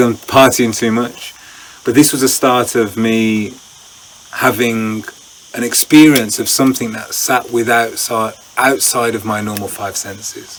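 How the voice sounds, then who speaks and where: A man at medium pitch and a moderate pace, fairly even intonation, with noticeable background noise. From England. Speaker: breathwork instructor. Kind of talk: interview answer.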